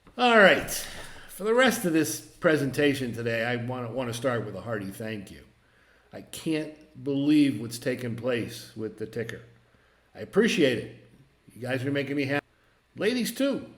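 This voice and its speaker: A man's medium-pitched voice with lively intonation, long and frequent pauses, and audible room echo. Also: moderate pace, big swings in loudness. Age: 60s. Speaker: market commentator, former broker. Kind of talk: casual market commentary monologue. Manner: halting, repeats words.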